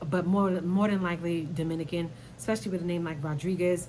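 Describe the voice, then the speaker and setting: Amid audible room echo, a woman with a fairly low voice speaks at a fairly quick pace in an animated tone. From New York, Brooklyn. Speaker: YouTuber commentator. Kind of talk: casual commentary vlog.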